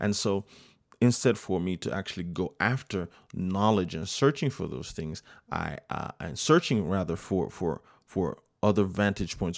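A man speaks with vocal fry at a very deep, low pitch and a moderate pace, his intonation lively. The recording is very clean, with a silent background. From United States, Nigerian family. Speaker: podcast host and saxophonist. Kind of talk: solo inspirational monologue. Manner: hesitant, many fillers and repetitions.

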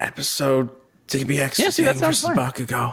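Using a put-on character voice, a man speaks raspy at a medium pitch and a moderate pace. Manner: quiet, ASMR-like.

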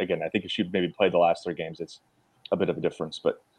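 A man talking at a very fast pace in a dry, close sound with no echo. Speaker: sports podcast co-host. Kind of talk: casual sports analysis discussion.

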